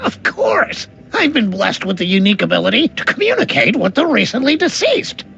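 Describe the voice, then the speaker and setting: Clear background noise sits behind a cartoonish character voice delivered at a fairly quick pace. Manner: mopey, anxious.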